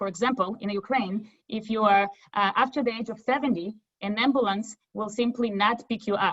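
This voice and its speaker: With a Russian accent, a woman speaks at a fairly quick pace in a fairly high pitch with ordinary pitch variation. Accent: Russian-type accent from former Soviet Union. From former Soviet Union. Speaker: nonprofit representative. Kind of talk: webinar presentation.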